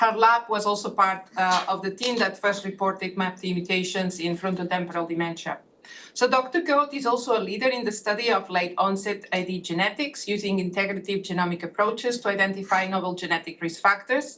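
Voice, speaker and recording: A woman talks at a fairly quick pace with a Catalan accent and ordinary pitch variation. Noticeable background noise is present. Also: medium pitch for a woman, hardly any pauses. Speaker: neuroscientist on advisory task force. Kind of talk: speaker introductions at online meeting. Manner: halting, many fillers.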